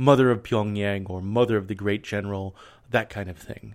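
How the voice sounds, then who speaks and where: A plain, everyday voice with ordinary pitch variation, in a very clean recording with a silent background. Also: man. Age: 30s. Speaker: history podcast host. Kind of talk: scripted narration.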